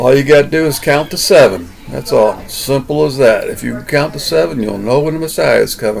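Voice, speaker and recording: Over noticeable background noise, a man with a Southern US accent speaks fairly high, with lively intonation. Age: 60s. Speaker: vlogger. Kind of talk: casual monologue. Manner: halting.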